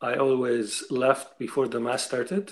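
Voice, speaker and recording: A man speaks in a Lebanese accent. His pitch varies in an ordinary way. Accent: Lebanese accent, noticeable. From Lebanon. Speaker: writer, interview guest. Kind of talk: interview. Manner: halting, repeats words.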